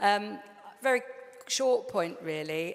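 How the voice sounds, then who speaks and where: A woman's lively intonation rises above noticeable background noise. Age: 60s. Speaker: comedy producer. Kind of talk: audience contribution at a live panel event.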